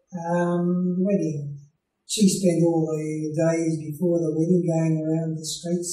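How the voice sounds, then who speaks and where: Music in the background behind a man with an Australian accent, his intonation monotone and flat, with audible room echo. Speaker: retired clergyman. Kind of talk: interview answer. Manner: hesitant, many filler sounds. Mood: calm, reminiscing. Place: home room.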